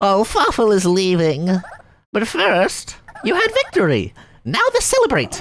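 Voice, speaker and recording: A put-on, female-sounding character voice speaks at a moderate pace with long, frequent pauses. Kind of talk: gameplay commentary, reading game text aloud. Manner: wheedling, insistent, giggly.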